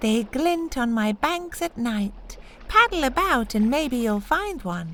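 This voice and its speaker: A female-sounding, put-on character voice speaks at a fairly slow pace in a high pitch with very wide pitch swings, over clear background noise. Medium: read story.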